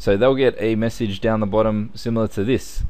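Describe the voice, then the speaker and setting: A man speaks with an Australian accent. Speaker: computer tutorial instructor. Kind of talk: tutorial. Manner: casual, conversational.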